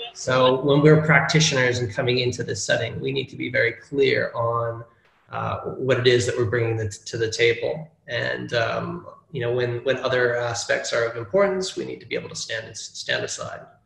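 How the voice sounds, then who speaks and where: A man at a moderate pace, with big swings in loudness and audible room echo. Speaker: presenter. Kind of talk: lecture. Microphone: video call.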